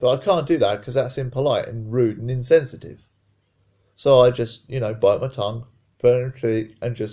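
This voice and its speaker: Over a quiet background, a man speaks at a medium pitch. His pace is fairly quick and his intonation fairly even. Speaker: carer and partner of a patient. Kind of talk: personal testimony. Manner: loud.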